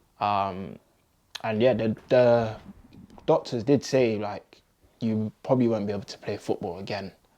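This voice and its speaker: Speaking at a fairly slow pace with a London accent, a man keeps his medium-pitched intonation fairly even against a quiet background. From London, England. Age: 20s. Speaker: community activist. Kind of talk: interview answer.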